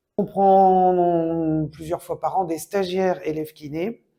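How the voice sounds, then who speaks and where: A woman's dark, mellow tone at a very slow pace, with fairly even intonation, on a very clean recording with a silent background. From Brittany, France. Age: 60s. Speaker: physiotherapist. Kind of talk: interview testimony. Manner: hesitant with fillers.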